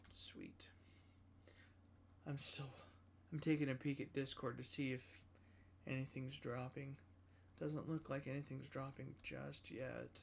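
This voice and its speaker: The speech is mumbling and fairly slow, broken by long, frequent pauses. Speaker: gaming livestreamer. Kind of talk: casual livestream commentary. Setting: livestream.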